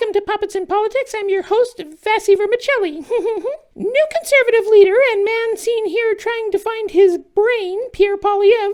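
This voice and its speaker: This put-on character voice has an extremely high pitch and a moderate pace, with hardly any pauses. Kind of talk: comedic satire sketch.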